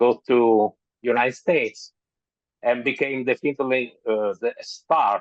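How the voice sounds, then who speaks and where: With a strong Italian accent, a man speaks fairly slowly at a medium pitch, his intonation fairly even and his loudness very even, in a dry, close sound with no echo. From Italy. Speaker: author. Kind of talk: interview. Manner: halting.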